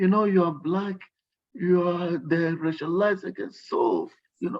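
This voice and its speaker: A man with a strong Nigerian accent speaks at a high pitch. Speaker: workshop guest speaker. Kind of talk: workshop talk. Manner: animated.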